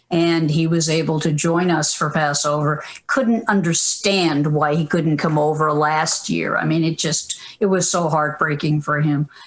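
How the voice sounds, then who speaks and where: A woman with an American accent speaks at a very deep, low pitch and a fairly slow pace. Her intonation is fairly even and her loudness very even, with noticeable background noise. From Boston, Massachusetts. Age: 70s. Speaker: media historian and professor. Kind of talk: interview.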